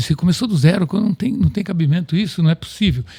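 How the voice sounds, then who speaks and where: Against noticeable background noise, a man with a fairly high pitch speaks with lively intonation. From Brazil, Piracicaba (São Paulo state). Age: 70s. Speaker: company president, agronomist. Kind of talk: interview.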